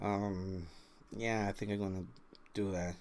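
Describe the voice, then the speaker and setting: In a Spanish accent, a man speaks with a fairly low voice. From Mexico. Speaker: vlogger. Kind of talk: personal storytelling. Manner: halting, many fillers.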